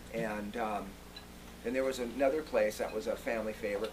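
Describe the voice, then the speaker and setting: A man speaks at a medium pitch. Background noise is noticeable behind him. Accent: American. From US West Coast (San Fernando Valley, Los Angeles). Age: 50s. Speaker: museum founder and curator. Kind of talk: club talk. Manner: casual, many fillers.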